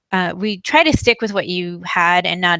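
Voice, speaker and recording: A woman speaks with an American accent at a moderate pace, her pitch medium and its variation ordinary. It is an unremarkable speaking voice. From New York. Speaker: wedding video company presenter. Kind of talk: live online tutorial. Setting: livestreamed video call with screen share.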